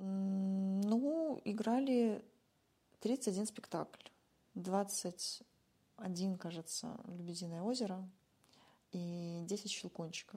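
Breathing somewhat breathily, a woman with a medium-pitched, dark, mellow tone and ordinary pitch variation speaks very slowly, with long, frequent pauses. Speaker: musician and former social worker. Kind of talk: casual interview chat. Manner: animated.

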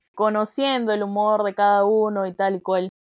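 A woman's fairly high voice moves at a fairly slow pace. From Peru, outside Lima. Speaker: podcast co-host. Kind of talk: casual chat.

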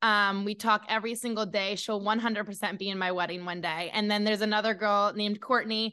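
A woman speaks at a very fast pace with hardly any pauses, her medium-pitched voice bright and sharp in tone. She has an American accent, and the background is quiet. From New Hampshire, US New England. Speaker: former podcast host, social media manager. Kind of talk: interview. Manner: animated.

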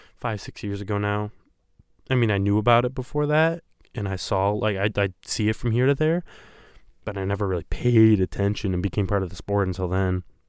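Recorded very cleanly against a silent background, a man with an American accent talks at a fairly quick pace in a fairly low pitch with ordinary pitch variation. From Michigan, US. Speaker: podcast host. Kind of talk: solo podcast monologue. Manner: casual, halting with fillers.

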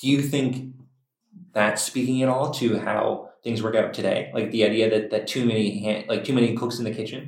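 A man's normal speaking voice at medium pitch, with fairly even intonation and a moderate pace. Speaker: podcast host. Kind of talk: roundtable discussion.

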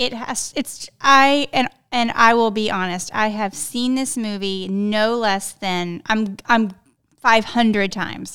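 Very slowly, a woman with an American accent speaks at a fairly high pitch in a bright, sharp tone. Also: ordinary pitch variation. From South Texas. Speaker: podcast host, real estate agent. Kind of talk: casual chat.

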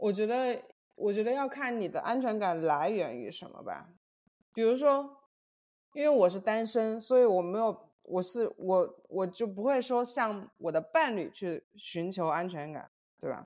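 Using an unremarkable speaking voice, a woman with a fairly high pitch talks at a fairly slow pace, with lively intonation and big swings in loudness. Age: 30s. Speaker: podcast co-host. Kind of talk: casual chat.

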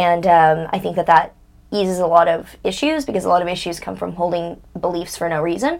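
A plain, everyday voice from a woman, fairly low-pitched, at a fairly quick pace with ordinary pitch variation. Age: 20s. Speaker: financial astrologer and TikTok creator. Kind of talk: casual interview chat.

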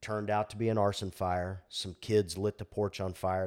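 A man's ordinary speaking voice, fairly low in pitch, at a moderate pace in a very clean recording with a silent background. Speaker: fire captain. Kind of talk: casual chat.

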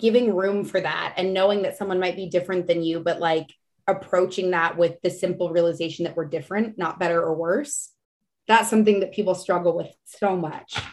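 With a Texan accent, a woman of medium pitch talks at a fairly quick pace with fairly even intonation. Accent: Texan American. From Texas, San Antonio. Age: 30s. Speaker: chef and reality TV contestant. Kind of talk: casual chat.

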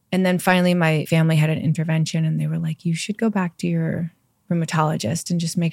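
A woman's fairly low-pitched voice, an unremarkable speaking voice, at a fairly quick pace in a dry, close sound with no echo. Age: 40s. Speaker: yoga teacher and skincare entrepreneur. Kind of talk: interview, casual chat. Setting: studio, in person.

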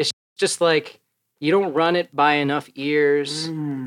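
With an American accent, a man has a plain, everyday voice, fairly high in pitch, speaking at a fairly slow pace in a dry, close sound with no echo. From US Midwest. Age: 20s. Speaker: rapper and singer. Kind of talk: casual chat.

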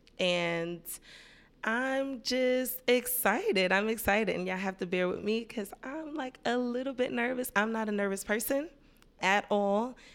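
A woman speaks here. Her pitch is fairly high, with ordinary pitch variation. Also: moderate pace. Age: 30s. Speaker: podcast host. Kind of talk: casual monologue.

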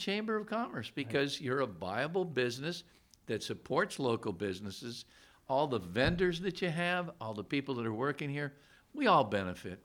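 With a bright, sharp tone and vocal fry, a man's voice swings very widely in pitch over a very clean recording with a silent background. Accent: American. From northeastern Pennsylvania (Scranton). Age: 70s. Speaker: county executive. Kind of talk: interview. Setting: stadium suite studio set.

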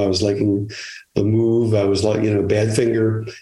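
A man with an American accent speaks at a moderate pace, his fairly low voice dark and mellow in tone. His intonation is monotone and flat, and room echo is audible. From Chicago area. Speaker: retired music publicist. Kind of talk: interview conversation. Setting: remote from home. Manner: halting, many fillers and repetitions.

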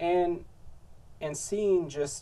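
A man's somewhat breathy voice, dark and mellow in tone, moves at a very slow pace. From third world country, moved to US. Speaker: podcast host. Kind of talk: solo podcast monologue. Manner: halting, many repeated words and filler.

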